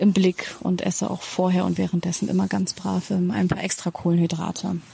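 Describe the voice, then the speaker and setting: Noticeable background noise sits under this woman's voice. Her intonation is monotone and flat. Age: 30s. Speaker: former teacher, interviewee. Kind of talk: interview.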